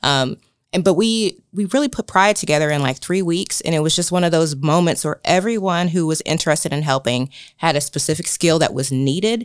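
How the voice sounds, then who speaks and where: A woman with an American accent and an unremarkable speaking voice talks at a fairly quick pace, her fairly low pitch moving with ordinary variation, in a very clean recording with a silent background and a dry, close sound with no echo. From Indiana, US Midwest. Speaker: wellness organization director. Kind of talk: casual interview. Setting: studio.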